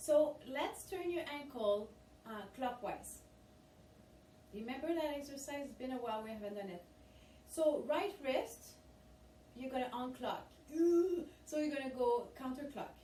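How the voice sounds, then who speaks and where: A woman with a French accent speaks fairly slowly in a high, upbeat voice with ordinary pitch variation and long, frequent pauses, amid audible room echo and noticeable background noise. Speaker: fitness instructor. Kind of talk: guided exercise class. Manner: encouraging, upbeat.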